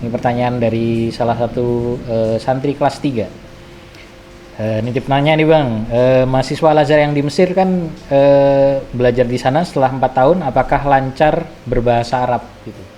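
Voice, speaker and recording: A man at a medium pitch and moderate pace, fairly even in intonation, with noticeable background noise. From Java, Indonesia. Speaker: podcast host at an Islamic boarding school. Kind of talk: casual interview chat.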